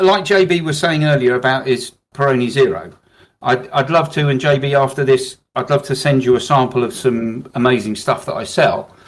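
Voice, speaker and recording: Speaking with a British accent, a man uses a medium pitch, ordinary pitch variation and a moderate pace. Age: 60s. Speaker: business owner, alcohol-free drinks distributor. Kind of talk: business advice podcast discussion.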